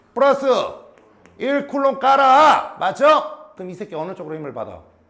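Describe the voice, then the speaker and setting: A man with an extremely high pitch speaks in an animated tone with lively intonation. His loudness swings widely, and the room echo is audible. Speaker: high school physics teacher. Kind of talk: classroom lecture. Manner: animated, questioning students; slower and quieter for key points.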